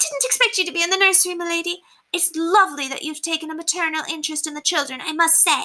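In a put-on character voice, a female-sounding speaker talks very fast with an extremely high, squeaky pitch. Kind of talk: deferential, servant speech.

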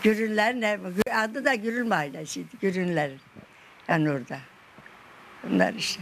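With light background noise behind her, a woman moves at a moderate pace through very wide pitch swings and long, frequent pauses. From Malatya, Turkey; Turkey. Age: 80s+. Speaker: interviewee. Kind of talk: interview answer. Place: home room.

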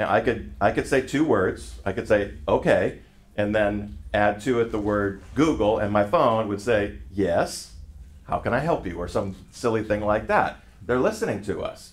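At a moderate pace, a man with a fairly low pitch and vocal fry speaks with lively intonation. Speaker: pastor teaching a group. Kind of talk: sermon. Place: meeting room. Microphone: camera far.

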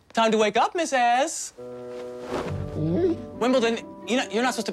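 Clear music plays in the background as a man speaks at a moderate pace with an extremely high pitch. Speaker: actor. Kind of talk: comedic TV commercial. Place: home room.

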